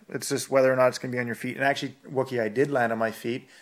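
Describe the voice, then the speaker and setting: A man speaks in a western Canadian accent. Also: very clean recording, silent background. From northern Alberta, Canada. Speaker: freestyle aerials skier. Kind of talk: casual chat. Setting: at home on a couch.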